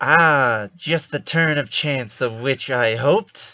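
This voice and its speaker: A put-on character voice with a whiny, nasal tone and a low-to-middle pitch. The delivery moves at a fairly slow pace. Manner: whiny, creepy.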